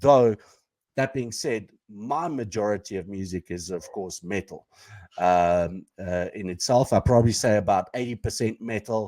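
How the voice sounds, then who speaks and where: A dark, mellow tone in an Afrikaans accent on a very clean recording with a silent background. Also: man, fairly low pitch for a man, ordinary pitch variation, moderate pace, dry, close sound with no echo. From South Africa, Pretoria. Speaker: podcast co-host. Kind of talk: casual chat.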